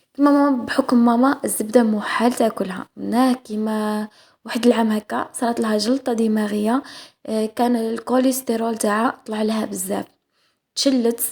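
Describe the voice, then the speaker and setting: A woman speaks in a somewhat breathy voice at a fairly high pitch. Her intonation is monotone and flat. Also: moderate pace. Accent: Algerian. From Algeria. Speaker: cooking vlogger. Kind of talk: cooking vlog voice-over. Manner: halting, many fillers and restarts; casual.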